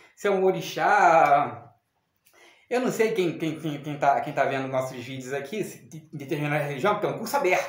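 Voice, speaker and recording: A man talks at a fairly quick pace. Room echo is audible around his voice. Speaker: spiritualist teacher. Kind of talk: video lesson. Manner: fast; halting, repetitive stumbles.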